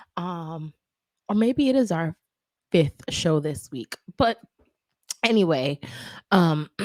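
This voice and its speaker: A woman speaks at a very slow pace with long, frequent pauses, her fairly low pitch making very wide swings. The sound is dry and close with no echo. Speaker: online entertainment show host. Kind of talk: casual chat. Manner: hesitant, frequent fillers.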